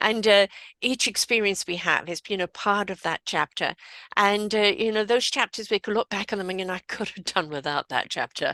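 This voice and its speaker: A woman with a British accent speaks at a fairly quick pace, her medium pitch moving with ordinary variation and a bright, sharp tone. The recording is very clean and dry, close-miked with no echo and a silent background. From Britain. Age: 60s. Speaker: podcast host. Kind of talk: casual interview chat.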